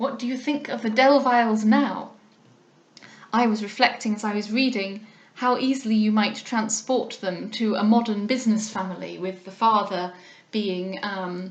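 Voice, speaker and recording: There is noticeable background noise and audible room echo as a woman with an English accent talks in a fairly high pitch. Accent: relatively RP English, short a in bath words. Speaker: audiobook reader. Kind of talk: casual commentary; reading aloud. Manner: hesitant, with frequent ums.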